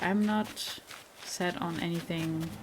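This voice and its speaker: In a room with audible echo, a woman with a German accent speaks at a fairly low pitch in a relaxed tone. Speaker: gaming youtuber. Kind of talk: gameplay commentary. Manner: relaxed, hesitant with fillers.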